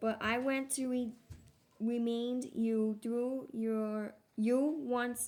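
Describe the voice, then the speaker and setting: A woman speaks with a fairly high pitch. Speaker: bible reader. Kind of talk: reading aloud. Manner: halting.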